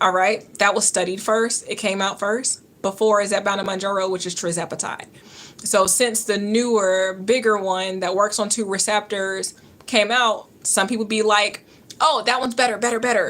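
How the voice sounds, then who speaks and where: A woman speaks with a Georgia accent at a medium pitch. Her intonation is fairly even. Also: moderate pace. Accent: Georgia Southern. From US South, Georgia. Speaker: nurse and health coach livestreamer. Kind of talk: live-stream Q&A chat.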